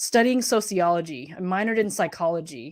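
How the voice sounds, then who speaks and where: A woman speaks at a moderate pace with lively intonation and medium pitch, an ordinary speaking voice on a very clean recording with a silent background. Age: 40s. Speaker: social worker and coach. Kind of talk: casual chat.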